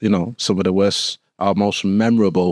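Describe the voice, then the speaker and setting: On a very clean recording with a silent background, a man with a Manchester accent speaks at a fairly low pitch in a monotone, flat way. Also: dry, close sound with no echo. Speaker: former firefighter. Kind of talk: interview. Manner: halting, many fillers.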